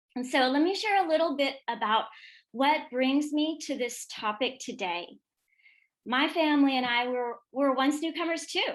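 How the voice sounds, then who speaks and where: A woman speaks with a high voice. Her intonation is lively. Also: moderate pace. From US (immigrated from former Yugoslavia as toddler). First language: Serbian. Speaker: educator and author. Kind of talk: professional development presentation.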